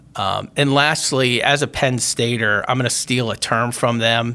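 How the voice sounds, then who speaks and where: A normal speaking voice at a fairly slow pace. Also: man. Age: 50s. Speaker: podcast host and company CEO. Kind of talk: solo podcast monologue. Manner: casual with frequent fillers.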